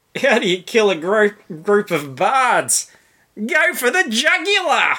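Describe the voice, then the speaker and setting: A put-on character voice, pitched fairly high, talks at a fairly slow pace. The pitch swings very widely from word to word. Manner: grinning.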